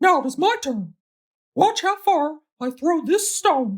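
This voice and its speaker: This is a put-on character voice, squeaky and high in pitch. It moves at a fairly slow pace. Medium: read story. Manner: cheerful, bold.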